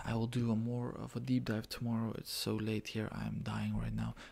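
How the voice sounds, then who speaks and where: A quiet man speaks at a moderate pace with hardly any pauses. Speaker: MMA fan reacting. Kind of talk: casual MMA fight reaction to camera. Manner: quiet, low voice. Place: home room. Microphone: webcam.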